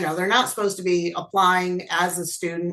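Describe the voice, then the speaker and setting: The tone is bright and sharp. It belongs to a woman. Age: 60s. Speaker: college program coordinator. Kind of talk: panel webinar talk.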